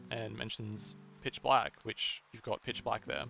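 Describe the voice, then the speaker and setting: A man speaks with an Australian accent while music plays in the background. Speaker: video game theory youtuber. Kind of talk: video essay commentary. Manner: hesitant, many fillers and repeats.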